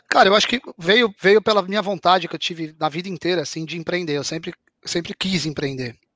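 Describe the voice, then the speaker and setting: A bright, sharp tone at a fairly quick pace, with ordinary pitch variation and a dry, close sound with no echo. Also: man, high pitch for a man. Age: 40s. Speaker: professional poker player and esports founder. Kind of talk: casual interview chat.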